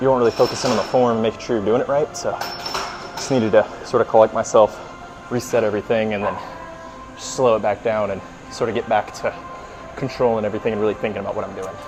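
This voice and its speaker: A man talks at a very fast pace, his medium-pitched voice fairly even in intonation. Music plays in the background. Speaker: fitness vlogger. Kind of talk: casual workout vlog talk. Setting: gym. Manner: hesitant with many fillers.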